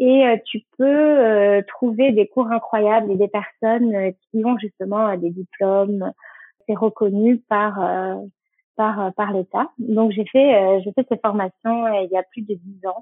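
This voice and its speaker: Fairly high-pitched and with fairly even intonation, a woman speaks at a very slow pace. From French Basque Country. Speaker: make-up artist and skincare brand founder. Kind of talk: casual interview. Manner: halting with frequent euh.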